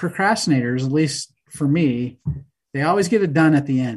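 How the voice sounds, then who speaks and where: Against a quiet background, a man with a fairly high pitch speaks in a somewhat breathy voice with ordinary pitch variation. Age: 60s. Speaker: short track stock car racer. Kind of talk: casual interview.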